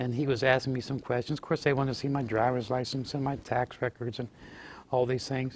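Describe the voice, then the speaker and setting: The speaker talks very fast in a monotone, flat intonation with a Western Pennsylvania accent. The recording is very clean, with a silent background. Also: man, medium pitch for a man. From Fayette County, Pennsylvania. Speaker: former state legislator. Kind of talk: oral history interview answer.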